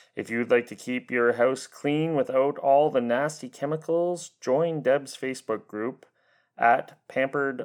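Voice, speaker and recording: Using a plain, everyday voice, a man talks at a medium pitch and a moderate pace with ordinary pitch variation. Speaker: podcast host. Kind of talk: casual interview.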